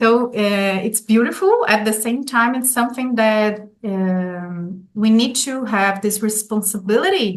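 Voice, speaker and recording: A woman speaks in a Brazilian Portuguese accent at a fairly slow pace. Her voice is fairly high, with ordinary pitch variation. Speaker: golden period educator. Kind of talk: interview. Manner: halting, with fillers and repetitions.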